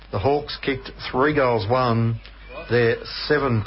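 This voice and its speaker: Noticeable background noise fills the recording. Through it, a man speaks with a medium pitch. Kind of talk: live sports commentary.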